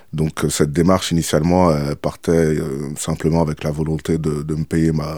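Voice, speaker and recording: A man speaks with a very deep, low pitch and a dark, mellow tone. His intonation is monotone and flat, at a moderate pace. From France, Île-de-France (Seine-et-Marne). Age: 30s. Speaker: former cannabis dealer. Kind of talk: testimony.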